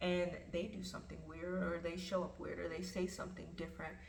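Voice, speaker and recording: Audible room echo and noticeable background noise around a woman talking at a moderate pace. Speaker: self-help vlogger. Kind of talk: casual spoken reflection. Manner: stutters at times; informal, filler-heavy.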